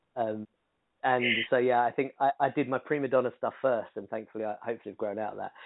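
A man with a British accent talks at a very fast pace. His pitch is medium, and his intonation fairly even. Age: 30s. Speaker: singer-songwriter and producer. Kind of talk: interview conversation.

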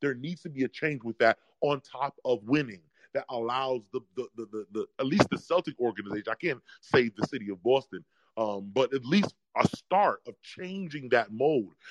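Speaking with an American accent and lively intonation, a man has an ordinary speaking voice at a medium pitch and moderate pace, with a dry, close sound with no echo. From New York. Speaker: caller. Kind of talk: casual chat.

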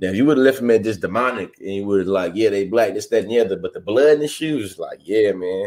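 At a very fast pace, a man with an American accent talks with ordinary pitch variation. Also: medium pitch for a man, hardly any pauses. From Texas, Bryan College Station. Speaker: podcast co-host. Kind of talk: casual chat.

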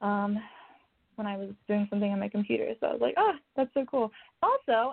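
A woman with an American accent has a normal speaking voice. Her pitch is medium, with ordinary pitch variation. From Oklahoma. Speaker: actress and stunt performer. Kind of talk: interview.

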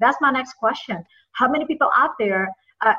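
With lively intonation, a woman speaks at a high pitch. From Indonesia. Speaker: podcast host. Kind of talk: interview. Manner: halting, many fillers.

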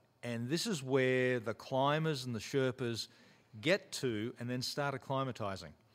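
A man with an Australian accent at medium pitch, fairly slow pace and ordinary pitch variation. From rural Australia. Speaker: mountaineer and former special forces soldier. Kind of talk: interview conversation. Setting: studio.

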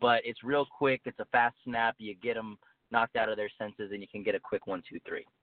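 At a moderate pace, a man speaks at medium pitch in a plain, everyday voice. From El Paso, Texas. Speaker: professional wrestler. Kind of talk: interview.

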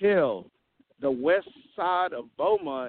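With a Southern US accent, a man speaks at a high pitch with ordinary pitch variation. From Mississippi. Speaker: caller, refinery worker. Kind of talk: casual chat.

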